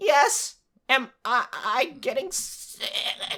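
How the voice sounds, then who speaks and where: A put-on character voice sounds raspy and nervous in tone. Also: female-sounding voice. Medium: actual play. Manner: stammering, nervous.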